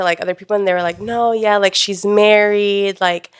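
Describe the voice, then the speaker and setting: Animated in tone, a woman talks at a moderate pace and a medium pitch. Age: 20s. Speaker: influencer marketing coordinator and freelance photographer. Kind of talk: casual chat.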